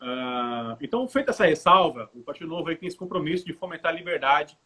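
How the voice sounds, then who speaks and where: A man talks very fast in a high voice, his intonation lively. His loudness swings widely. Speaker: political party member hosting a finance talk. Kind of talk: livestream talk on personal and business finance. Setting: online live stream. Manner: animated, occasionally stumbling over words.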